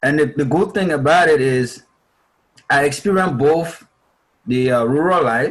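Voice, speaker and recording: A man with a Liberian accent speaks at a moderate pace and fairly high pitch, with ordinary pitch variation. His loudness stays very even, and he takes long, frequent pauses. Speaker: refugee speaker. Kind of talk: interview answer. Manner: talkative.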